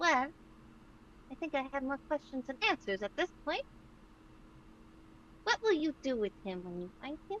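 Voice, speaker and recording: In a put-on character voice, a woman at a high pitch swings very widely in pitch at a moderate pace with long, frequent pauses over clear background noise. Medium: actual play. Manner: sassy, blunt.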